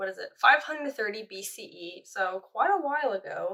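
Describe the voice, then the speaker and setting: A woman's bright, sharp voice rises to a high pitch and moves through very wide pitch swings. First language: French. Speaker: art history vlogger. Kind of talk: casual chat. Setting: home, doing nails on camera. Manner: chatty, informal.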